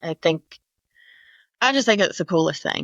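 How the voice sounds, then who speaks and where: Speaking with a Southern US accent, a woman's voice sits fairly low. The recording is very clean with a silent background and a dry, close sound with no echo. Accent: Southern US (Georgia). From Georgia, Atlanta area (US South). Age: 30s. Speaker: cancer survivor and advocate. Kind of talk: interview.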